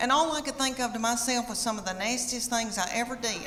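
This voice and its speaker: A woman speaks with a Southern US accent at a high pitch. Noticeable background noise runs under her voice. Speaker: stand-up comedian. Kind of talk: stand-up comedy routine.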